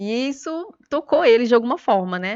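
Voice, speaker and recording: A woman is heard in a dry, close sound with no echo over a quiet background. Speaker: lawyer. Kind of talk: testimony. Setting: studio. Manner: fast.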